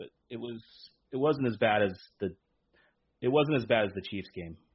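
Pitch varying in an ordinary way, a man speaks at a fairly quick pace. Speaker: sports podcast host. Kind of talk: casual chat. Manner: loud; animated.

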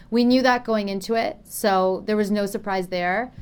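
A woman in a normal speaking voice with a Canadian accent, fairly even intonation and a moderate pace, on a very clean recording with a silent background. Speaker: professional tennis player. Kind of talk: interview.

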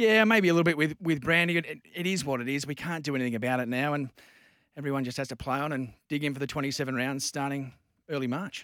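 Talking at a very fast pace with an Australian accent, a man uses a fairly high pitch and ordinary pitch variation on a very clean recording with a silent background. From Newcastle, Australia. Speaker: sports MC and commentator. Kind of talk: casual chat. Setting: radio studio.

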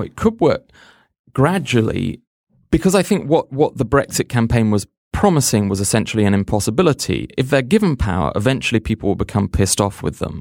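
On a very clean recording with a silent background, a man talks fairly quickly with vocal fry and very wide pitch swings. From England, Oxford. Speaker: magazine editor. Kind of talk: casual panel discussion.

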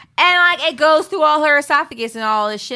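A woman with an American accent uses a raised, projected voice at a high pitch, with a bright, sharp tone, very wide pitch swings and a fairly quick pace. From San Francisco, US West Coast. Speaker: comedian. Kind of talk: casual chat.

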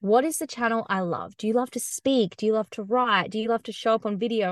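Against a quiet background, a woman with an Australian accent speaks at a moderate pace in a fairly high pitch with fairly even intonation, the sound dry and close with no echo. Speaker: content marketing business founder. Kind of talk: casual interview.

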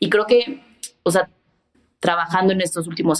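A woman talks in an ordinary speaking voice at a fairly quick pace with ordinary pitch variation. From Mexico. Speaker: photographer and creative director. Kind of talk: casual interview chat.

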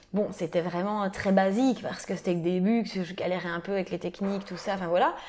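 A woman with an unremarkable speaking voice talks fairly quickly at a medium pitch, with fairly even intonation and hardly any pauses. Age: 20s. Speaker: tattoo artist. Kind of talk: interview. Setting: tattoo shop.

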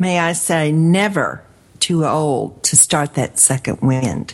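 In a normal speaking voice, a woman talks with lively intonation at a fairly low pitch. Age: 50s. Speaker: radio host and life coach. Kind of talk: radio interview.

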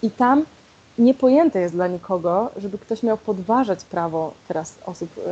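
A woman at a moderate pace with a plain, everyday voice. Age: 20s. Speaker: LGBTQ+ activist, equality march organizer. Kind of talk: interview.

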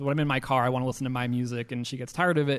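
Flat, monotone intonation marks this man's voice, which sits at a medium pitch. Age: 30s. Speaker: returned missionary, podcast guest. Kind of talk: personal testimony interview. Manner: loud, extroverted.

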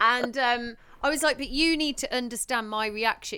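A woman's high-pitched voice with a bright, sharp tone on a very clean recording with a silent background. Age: 30s. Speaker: podcast host and new mum. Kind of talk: casual chat. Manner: chatty, laughs often.

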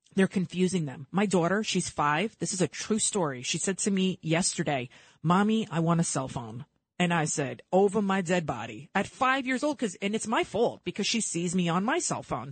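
A woman with an American accent and a medium pitch speaks at a moderate pace in an animated, somewhat breathy way, her pitch swinging very widely, recorded dry and close with no echo against a quiet background. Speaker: radio host. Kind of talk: live talk radio show. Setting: radio studio. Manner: animated, opinionated.

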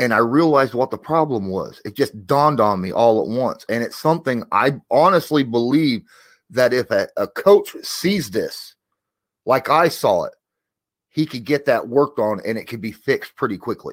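With lively intonation, a man speaks at a moderate pace in an unremarkable speaking voice of medium pitch, in a very clean recording with a silent background.

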